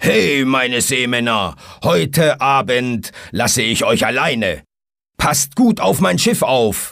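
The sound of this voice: A man in a put-on character voice, medium in pitch, at a fairly slow pace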